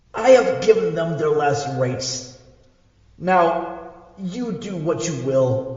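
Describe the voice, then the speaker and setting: In a put-on character voice, a man talks at a very slow pace, wheezy and fairly high-pitched, with strong echo. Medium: audio drama. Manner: slow, halting, grave.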